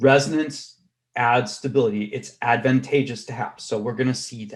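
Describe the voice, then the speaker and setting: Somewhat breathy, a man talks at a moderate pace. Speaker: chemistry professor. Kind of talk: lecture.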